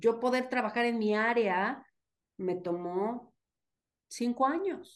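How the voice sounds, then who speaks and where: A woman talks in a high pitch. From Mexico, State of Mexico (Atizapán). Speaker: migrant and social science enthusiast. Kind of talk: casual chat.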